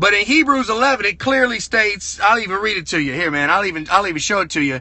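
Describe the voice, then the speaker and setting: In a Southern US accent, a man speaks in an animated tone at a high pitch. His intonation is lively. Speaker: car dealer and motivational speaker. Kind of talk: motivational livestream talk. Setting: live stream from a truck over Bluetooth. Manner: fast.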